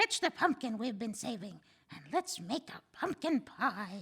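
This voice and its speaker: A woman uses a put-on character voice that is high-pitched and croaky. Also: moderate pace. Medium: read story. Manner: cranky, blustering.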